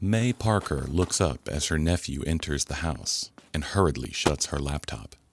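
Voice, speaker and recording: On a very clean recording with a silent background, a man with a very deep, low pitch and vocal fry talks at a moderate pace with lively intonation and hardly any pauses. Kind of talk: scripted narration.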